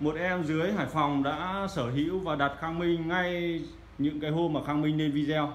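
A man talks at a moderate pace with hardly any pauses and very even loudness. His intonation stays fairly even over light background noise. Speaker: audio equipment seller. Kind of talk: product showcase commentary. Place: shop. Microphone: phone near.

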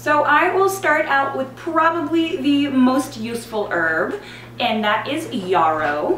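Against light background noise and audible room echo, a woman speaks at a fairly slow pace. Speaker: herbal blogger. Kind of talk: tutorial. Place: home room.

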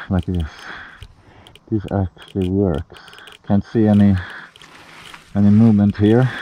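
Over light background noise, a man talks at a fairly slow pace. His intonation is fairly even, and the sound is dry with no echo. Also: fairly low pitch for a man. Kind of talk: casual vlog chat. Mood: tense, quiet. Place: forest. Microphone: phone near.

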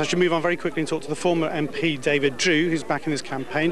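A high-pitched man rattles along at a very fast pace, with noticeable background noise around him. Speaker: radio reporter. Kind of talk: on-location news report. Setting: outdoors at a march.

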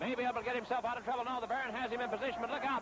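An excited man at a very fast pace, dry sound with no echo, noticeable background noise behind him. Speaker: wrestling commentator. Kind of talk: live sports play-by-play commentary. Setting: live arena broadcast. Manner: excited, fast.

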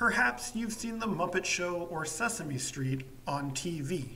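The speech moves at a very slow pace. Noticeable background noise sits behind it. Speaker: English teacher. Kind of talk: slow story reading for language learners. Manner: slow, clear.

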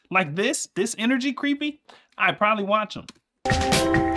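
Man speaking at a fairly slow pace over music in the background. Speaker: streamer reacting to music. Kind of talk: casual reaction commentary. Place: home room.

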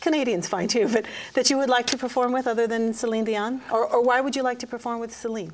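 A woman talks at a very fast pace with a high pitch and fairly even intonation. Light background noise can be heard. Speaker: TV interviewer. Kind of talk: interview. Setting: studio. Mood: warm, laughing, friendly. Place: studio.

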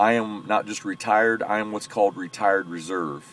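With an American accent, a man speaks at a moderate pace in a fairly low voice, his intonation fairly even and the sound dry with no echo. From US. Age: 40s. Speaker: military veteran and powerlifter. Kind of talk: casual vlog monologue. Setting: in a parked truck. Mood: earnest, friendly, explaining himself. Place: car. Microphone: phone near.

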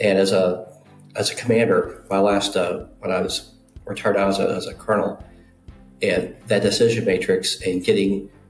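Over faint background music, a man talks at a moderate pace with audible room echo. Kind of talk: interview answer. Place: home room. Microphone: webcam.

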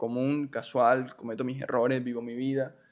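Over a quiet background, a man of medium pitch speaks at a moderate pace in a monotone, flat intonation. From Colombia, Barranquilla; Colombia. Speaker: industrial engineer and church group leader; podcast guest. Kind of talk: personal testimony in interview. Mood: reflective, earnest. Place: studio. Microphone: studio mic.

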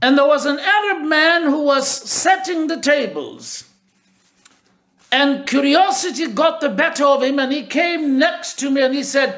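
A man speaks at an extremely high pitch and a fairly slow pace. The background is quiet. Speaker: pastor / preacher; pastor, preacher. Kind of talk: personal anecdote told in a sermon. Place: home room. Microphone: phone near.

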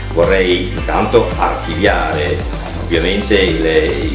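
A man speaks with a very deep, low pitch and very wide pitch swings, with audible room echo and clear music in the background. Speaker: actor and reading teacher. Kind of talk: outtakes, casual off-script talk. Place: home room.

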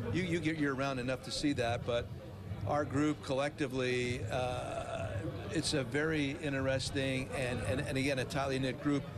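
Noticeable background noise accompanies a man's speech. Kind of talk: interview answer. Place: stadium. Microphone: handheld.

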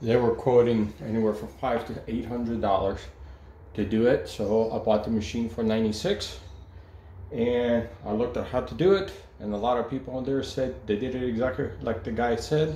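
In a room with audible echo, a man with a dark, mellow, somewhat breathy voice speaks with lively intonation. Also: moderate pace. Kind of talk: casual vlog chat. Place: home room. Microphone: phone near.

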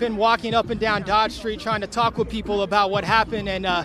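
Faint music sits in the background as a man with a high pitch speaks, the sound dry with no echo. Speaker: TV news field reporter. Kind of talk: live news report. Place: street. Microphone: handheld.

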